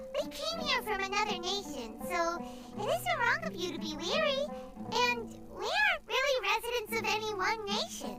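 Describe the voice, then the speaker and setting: Music plays behind a squeaky, extremely high-pitched put-on character voice. The pace is moderate. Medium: video game. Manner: earnest, direct.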